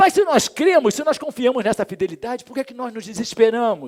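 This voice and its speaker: The man's pitch is extremely high, with ordinary pitch variation. The sound is dry and close, with no echo. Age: 60s. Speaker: pastor. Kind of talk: sermon. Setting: church. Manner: hesitant fillers.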